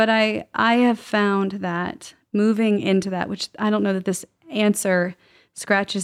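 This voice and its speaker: A woman with an unremarkable speaking voice talks at a fairly slow pace, with medium pitch and fairly even intonation. The sound is dry and close with no echo, on a very clean recording with a silent background. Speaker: podcast co-host. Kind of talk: casual conversation.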